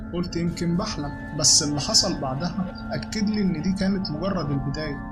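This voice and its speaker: Backed by music in the background, a man with an Egyptian accent talks at a high pitch and moderate pace with ordinary pitch variation. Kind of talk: horror story narration.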